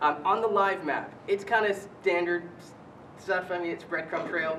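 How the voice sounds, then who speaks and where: There is audible room echo and noticeable background noise as a man talks at a moderate pace. His voice is high-pitched for a man, with big swings in loudness. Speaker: telematics company product specialist. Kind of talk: conference presentation.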